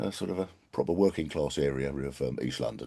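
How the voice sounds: Putting on a character voice, a man rasps out his words very fast at a very deep, low pitch.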